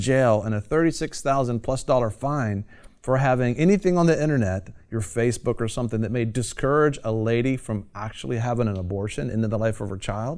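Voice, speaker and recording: In a very clean recording with a silent background, an unremarkable speaking voice talks fairly quickly. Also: man. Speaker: TV show host. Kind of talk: talk show hosting with commentary.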